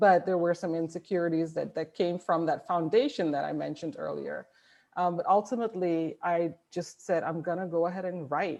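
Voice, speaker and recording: At a moderate pace, a woman with a non-native accent speaks at a fairly low pitch against a quiet background. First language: not English. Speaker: author. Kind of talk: panel discussion.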